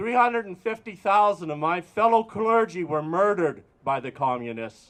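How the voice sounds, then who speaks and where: A man with an Albertan accent speaks at a moderate pace. His pitch is high and his intonation lively. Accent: Canadian (Alberta). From Alberta, Canada. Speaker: priest. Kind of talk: protest rally speech. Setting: outdoor protest with crowd. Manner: calm, not yelling.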